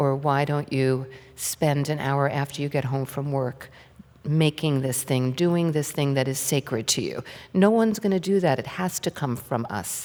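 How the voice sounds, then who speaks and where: A woman's very deep, low voice with an American accent, dark and mellow in tone, at a moderate pace with ordinary pitch variation. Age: 60s. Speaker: author. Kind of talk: on-stage interview. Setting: stage with audience.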